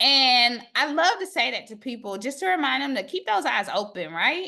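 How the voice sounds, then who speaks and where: A woman with a slight Southern US accent speaks at a moderate pace in a high, bright, sharp, animated tone, her pitch swinging very widely against a quiet background. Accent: slight Southern American. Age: 40s. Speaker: academic. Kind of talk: casual chat.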